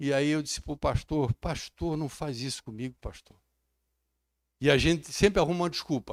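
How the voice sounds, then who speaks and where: Heard in a very clean recording with a silent background and dry, close sound without echo, a man with a fairly high pitch speaks at a moderate pace with ordinary pitch variation and long, frequent pauses. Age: 60s. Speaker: pastor. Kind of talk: sermon. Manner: animated.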